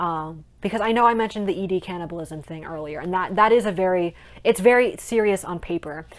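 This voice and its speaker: A woman's ordinary speaking voice with ordinary pitch variation at a fairly quick pace. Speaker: aspiring author and vlogger. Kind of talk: casual vlog monologue. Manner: chatty, many filler ums.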